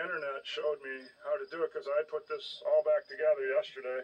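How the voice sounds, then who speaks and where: Here a man speaks at a moderate pace. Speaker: hobbyist tractor restorer. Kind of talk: casual repair walkthrough. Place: open country. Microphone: phone near.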